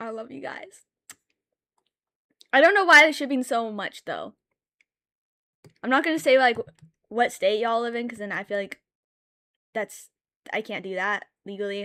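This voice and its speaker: A woman's animated voice at a moderate pace, fairly high in pitch, with lively intonation, big swings in loudness, long, frequent pauses, and a dry, close sound with no echo. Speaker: streamer and artist. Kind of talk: casual live stream chat while drawing. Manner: loud, yelling at times.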